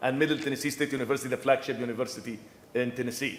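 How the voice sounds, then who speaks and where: A man is speaking. Noticeable background noise and audible room echo surround him. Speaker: professor and structural engineer. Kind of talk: conference presentation. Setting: conference room with audience, no microphone. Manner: loud; halting, many repetitions.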